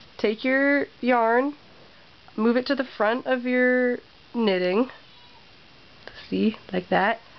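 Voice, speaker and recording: A woman speaks very slowly in a high voice, with long, frequent pauses, fairly even intonation and very even loudness. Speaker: knitting video maker. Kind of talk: tutorial. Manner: casual, hesitant with fillers.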